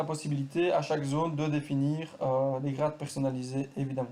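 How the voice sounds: This man's voice is fairly high and has a dark, mellow tone. His intonation stays fairly even.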